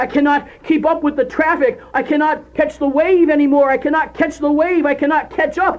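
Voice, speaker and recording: The speaker talks at a moderate pace. There are hardly any pauses. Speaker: spoken word poet. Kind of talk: spoken word poetry performance. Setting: audio cassette recording.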